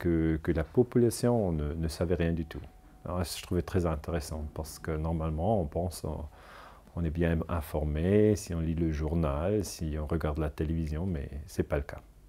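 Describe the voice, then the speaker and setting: A man with a Swiss German accent, a very deep, low pitch and a dark, mellow tone, at a moderate pace. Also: ordinary pitch variation. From German-speaking Switzerland. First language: German (speaking French). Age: 40s. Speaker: historian; interviewee. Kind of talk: interview. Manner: halting. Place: home room.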